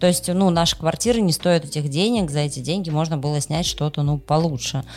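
A woman's very deep, low voice at a moderate pace, with ordinary pitch variation and music in the background. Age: 30s. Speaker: podcast co-host. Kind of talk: casual chat.

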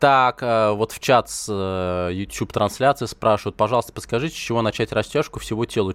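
This man talks in an animated tone at a moderate pace, his medium-pitched voice carrying lively intonation. The sound is dry and close, with no echo. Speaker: fitness expert and radio host. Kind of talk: live radio call-in show. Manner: animated, talkative.

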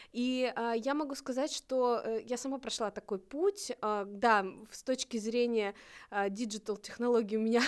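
In an unremarkable speaking voice, a woman talks at a moderate pace with a fairly high pitch and ordinary pitch variation, on a very clean recording with a silent background. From northern Russia, Novodvinsk. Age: 30s. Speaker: volunteer program coordinator, blind. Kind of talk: casual chat.

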